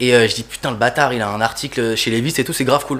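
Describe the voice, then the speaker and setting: A man speaks at a very fast pace in a medium pitch with fairly even intonation. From Toulouse, southern France. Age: 20s. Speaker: sneaker customizer artist. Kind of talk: casual chat.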